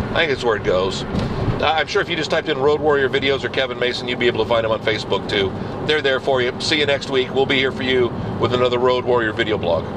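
A man talks at a very fast pace. Noticeable background noise can be heard. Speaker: video blogger. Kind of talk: casual video blog monologue. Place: car. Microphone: phone near.

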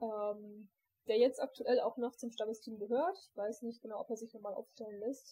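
A woman's fairly high voice with a dark, mellow tone, ordinary pitch variation and a moderate pace. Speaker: scout group leader, podcast host. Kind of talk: casual chat, podcast. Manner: hesitant, many fillers.

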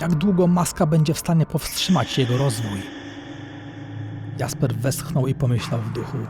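With music in the background, a man speaks at a moderate pace and a fairly high pitch. His pitch varies in an ordinary way, and he takes long, frequent pauses. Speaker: author reading his own novel. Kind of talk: dark fantasy book promo narration.

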